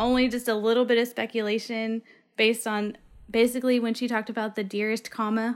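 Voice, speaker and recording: At a very fast pace, a woman with a fairly high pitch speaks in a monotone, flat intonation on a very clean recording with a silent background. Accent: American. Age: 30s. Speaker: podcast guest. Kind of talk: casual chat.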